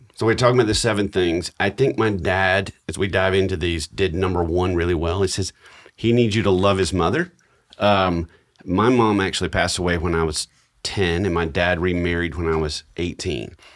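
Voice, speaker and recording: A man speaks at a moderate pace in a very deep, low voice. The background is quiet. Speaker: podcast co-host. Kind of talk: podcast storytelling chat. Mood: warm, reflective, lightly humorous. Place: studio. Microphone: studio mic.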